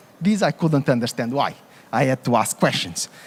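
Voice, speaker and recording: A man with a Portuguese accent speaks in a dry, close sound with no echo. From Portugal. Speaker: coffee conference speaker. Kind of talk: conference presentation.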